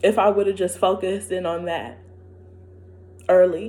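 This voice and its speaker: At a fairly slow pace, a woman speaks at a medium pitch with ordinary pitch variation, a dark, mellow tone and vocal fry. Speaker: vlogger. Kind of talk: personal monologue. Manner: loud; animated.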